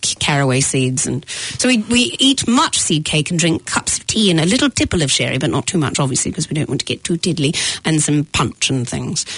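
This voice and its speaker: Over noticeable background noise, a woman with a very deep, low pitch talks at a fairly quick pace with very wide pitch swings and hardly any pauses. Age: 40s. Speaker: comedian and actor. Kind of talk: casual chat. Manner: animated.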